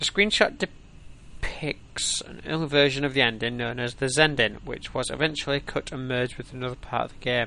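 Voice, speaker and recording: The man's tone is bright and sharp. He speaks with hardly any pauses. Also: medium pitch for a man, ordinary pitch variation, moderate pace, big swings in loudness. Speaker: gaming streamer. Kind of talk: reading aloud. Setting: live stream.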